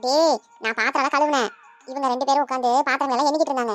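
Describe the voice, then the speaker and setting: A woman in a cartoonish character voice speaks very fast at a high pitch with fairly even intonation. The sound is dry and close with no echo, with faint music in the background. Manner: affectionate, teasing.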